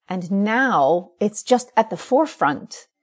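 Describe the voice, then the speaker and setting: Lively in intonation and fairly high in pitch, a woman speaks with a New York accent on a very clean recording with a silent background. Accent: American, New York. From US Northeast, New York City. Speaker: writer. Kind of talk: interview. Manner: emotional, passionate.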